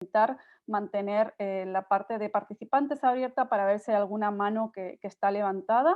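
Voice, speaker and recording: A woman at a fairly quick pace, medium in pitch, with ordinary pitch variation. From Spain, Tarragona. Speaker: nonprofit director presenting a workshop. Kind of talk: online workshop presentation. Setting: video call. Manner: fast.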